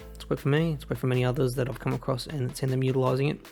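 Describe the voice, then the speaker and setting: Music plays in the background as a man speaks. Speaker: gaming video creator. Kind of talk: casual gameplay commentary.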